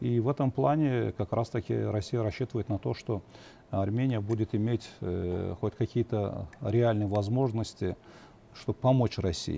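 A man speaks at a moderate pace and medium pitch, with a dark, mellow tone and fairly even intonation. The sound is dry and close with no echo, and his pauses are long and frequent. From Azerbaijan. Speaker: journalist and political analyst. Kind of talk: TV political panel discussion. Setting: TV studio.

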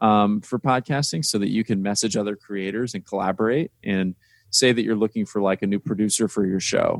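In an American accent, a man speaks with ordinary pitch variation on a very clean recording with a silent background. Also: fairly low pitch for a man, fairly quick pace, dry, close sound with no echo. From US Midwest, Indiana. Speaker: startup co-founder. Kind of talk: interview conversation. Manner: hesitant, many fillers and repetitions.

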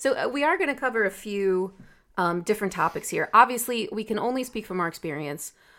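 This woman talks very fast in an American accent, with a fairly high pitch. Her tone is bright and sharp, and her intonation is lively. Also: very clean recording, silent background. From United States. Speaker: podcast co-host, marketing professional. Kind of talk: casual chat. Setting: recording from home.

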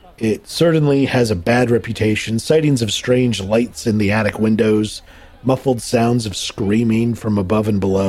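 Unforced reading voice, pitch varying in an ordinary way

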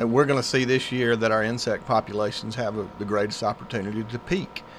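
Speaking at a moderate pace, a man with a medium-pitched voice has a Southern US accent. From US South, Griffin, Georgia. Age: 40s. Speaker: pest control business owner. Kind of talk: radio interview. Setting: studio.

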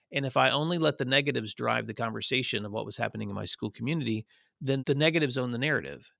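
At a very fast pace, a man with an American accent and a medium pitch speaks with vocal fry, a bright, sharp tone and ordinary pitch variation, in a very clean, dry, close recording with no echo and a silent background. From US South, northwest Tennessee. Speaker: education association director, former principal. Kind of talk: interview.

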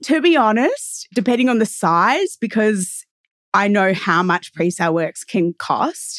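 A woman's fairly high voice in an Australian accent, fairly slow, with very wide pitch swings and very even loudness, over a quiet background with a dry, close sound and no echo. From Melbourne, Australia. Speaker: real estate agent podcast co-host. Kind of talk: casual chat.

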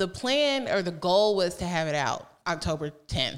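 A woman speaks in a normal speaking voice with an American accent. Her pitch is medium and her pace moderate. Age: 30s. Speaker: author and podcaster. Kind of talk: casual interview.

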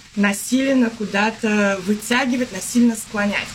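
Her voice is fairly high for a woman, with ordinary pitch variation, and there's noticeable background noise. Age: 30s. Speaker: yoga teacher. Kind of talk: podcast interview.

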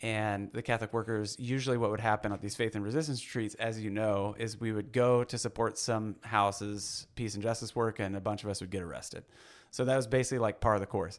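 A man with an American accent and a fairly low pitch, very fast and fairly even in intonation, on a very clean recording with a silent background. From Missouri (Blue Springs). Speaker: pastor and activist. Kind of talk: casual interview.

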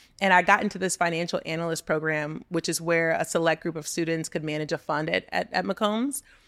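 At a fairly quick pace with hardly any pauses, a woman speaks at a fairly low pitch. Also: ordinary pitch variation. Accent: Texan. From Texas (Texas City, Gulf Coast). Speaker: entrepreneur and business consultant. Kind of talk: casual interview chat.

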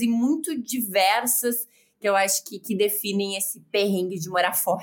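In a southern Brazilian accent, a woman speaks at a fairly slow pace. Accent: gaúcho Brazilian Portuguese. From Southern Brazil, Rio Grande do Sul (Porto Alegre). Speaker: sports journalist. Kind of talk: casual interview chat.

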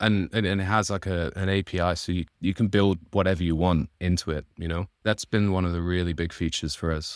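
A man with a Mancunian accent talks at a fairly quick pace with a very deep, low pitch. The recording is very clean, with a silent background. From northern England, Manchester. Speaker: indie software developer, plugin founder. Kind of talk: interview, casual chat.

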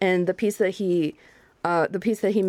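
A woman with an ordinary speaking voice talks at a moderate pace and medium pitch, her intonation fairly even. The recording is very clean, with a silent background. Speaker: bassoonist and music curator. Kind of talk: radio interview chat. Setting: radio studio.

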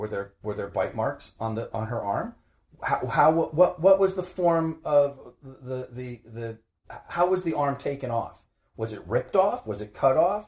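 A man with an American accent speaks in a somewhat breathy voice. His pitch swings very widely and his loudness rises and falls sharply. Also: fairly high pitch for a man. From northern New Jersey (Maplewood). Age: 50s. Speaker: retired private investigator, cold case advocate. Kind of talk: interview. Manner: halting, repeats words.

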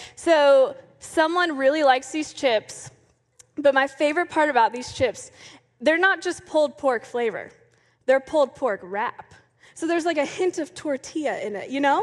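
A woman with an American accent, high-pitched and animated, with lively intonation at a moderate pace. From Florida. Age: 20s. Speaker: youth ministry staff. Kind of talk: sermon.

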